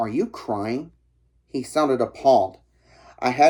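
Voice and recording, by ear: Text read aloud in a natural voice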